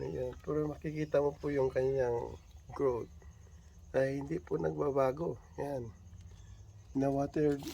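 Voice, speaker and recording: A man with a dark, mellow tone speaks with lively intonation and long, frequent pauses. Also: medium pitch for a man. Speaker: gardening vlogger. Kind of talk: casual video blog. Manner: halting.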